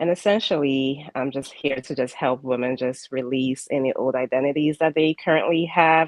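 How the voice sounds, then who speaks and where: A woman talks at a fairly quick pace with hardly any pauses. Her pitch is very deep and low, and her intonation is fairly even. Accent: Ghanaian. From Ghana. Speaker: spiritual life coach. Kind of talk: interview. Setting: live broadcast. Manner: halting.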